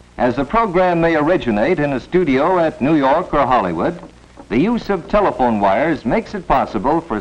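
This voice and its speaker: With noticeable background noise behind him, a man of fairly high pitch speaks at a moderate pace, his pitch swinging very widely. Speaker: film narrator. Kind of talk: educational film narration.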